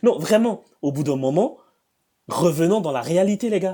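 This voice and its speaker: With a high pitch, very wide pitch swings and a dark, mellow tone, a man speaks with long, frequent pauses. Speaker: debate streamer reacting to videos. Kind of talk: reaction commentary. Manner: fast.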